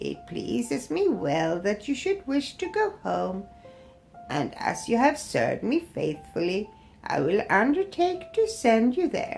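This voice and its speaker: A woman does a put-on character voice, fairly high in pitch and at a fairly slow pace. Clear music plays in the background. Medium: read story. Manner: kind, gentle.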